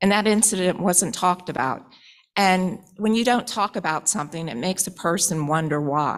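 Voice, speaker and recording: Here is a woman with an unremarkable speaking voice, pitched at a medium level. Her delivery is moderately paced and her pitch varies in an ordinary way. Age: 60s. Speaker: citizen making public comment. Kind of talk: public comment. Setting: public board meeting.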